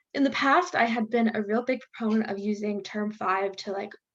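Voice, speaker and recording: A woman with a fairly high pitch. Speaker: medical student tutor. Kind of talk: live Q&A session. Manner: fast.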